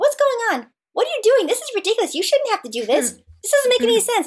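A woman speaks in a put-on character voice with an extremely high pitch. She talks very fast. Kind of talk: casual, mock-indignant. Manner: mock-indignant.

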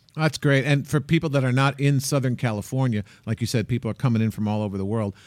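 A man at medium pitch is heard on a very clean recording with a silent background. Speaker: travel show host. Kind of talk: casual chat. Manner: animated.

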